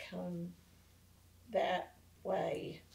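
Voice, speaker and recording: A woman with a Southern US accent. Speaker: city council member. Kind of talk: council meeting discussion.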